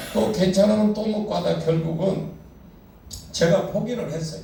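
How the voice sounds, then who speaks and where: A man talks at a fairly slow pace with a high pitch and ordinary pitch variation. Noticeable background noise and audible room echo are in the recording. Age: 60s. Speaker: pastor. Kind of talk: sermon.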